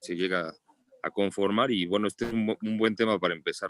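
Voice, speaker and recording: A man speaks with a Mexican accent and fairly even intonation. The sound is dry and close, with no echo. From Mexico City. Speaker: pediatrician. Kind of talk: book club discussion.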